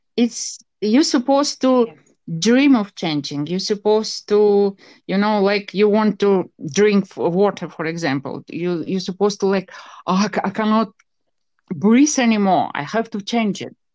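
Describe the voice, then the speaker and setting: Against a quiet background, a woman with an unremarkable speaking voice talks at a moderate pace and medium pitch with lively intonation. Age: 50s. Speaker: parapsychologist and psychotherapist. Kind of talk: interview.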